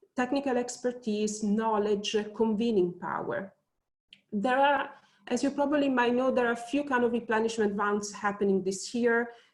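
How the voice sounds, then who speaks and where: Speaking with an Italian accent, a woman keeps a moderate pace, a fairly high pitch and fairly even intonation. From Italy. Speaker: think tank researcher. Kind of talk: webinar panel talk. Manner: hesitant, many fillers.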